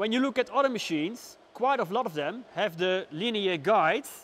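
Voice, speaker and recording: A man with a Dutch accent talks at a moderate pace with lively intonation. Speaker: woodworker. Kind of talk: product review. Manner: unscripted, hesitant with fillers.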